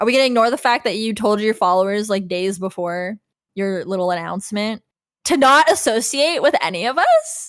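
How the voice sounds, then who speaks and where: A woman with an ordinary speaking voice, fairly high pitch and lively intonation speaks at a fairly quick pace on a very clean recording with a silent background. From Canada. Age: 30s. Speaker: former vtuber. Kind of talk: casual chat. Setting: livestream.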